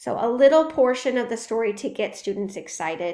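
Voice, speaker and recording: A woman speaks in a fairly high pitch with lively intonation at a moderate pace. Audible room echo surrounds her voice. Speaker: professor. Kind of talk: lecture. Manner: casual with frequent fillers.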